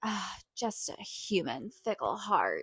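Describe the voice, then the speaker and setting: Using a raspy, put-on character voice, a woman with a medium pitch speaks at a fairly slow pace. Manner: dramatic, wry.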